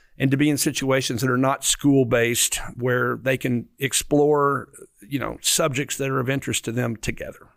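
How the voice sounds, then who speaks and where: Keeping a moderate pace, a man of medium pitch talks with monotone, flat intonation. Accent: Southern US. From Arkansas. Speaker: museum CEO. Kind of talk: interview. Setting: newspaper office.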